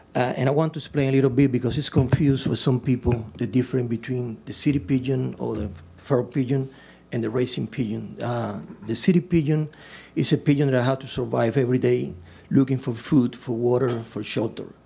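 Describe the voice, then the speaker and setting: Over a quiet background, a man with a medium-pitched, dark, mellow tone and vocal fry speaks at a fairly quick pace with fairly even intonation. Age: 60s. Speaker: applicant at city council meeting. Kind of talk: public comment. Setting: council chamber. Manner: halting.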